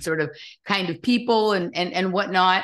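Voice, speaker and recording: Lively intonation from a woman with a Californian accent, medium in pitch and fairly quick in pace. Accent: Californian American. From Los Angeles, US. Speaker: podcast host. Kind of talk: casual interview chat.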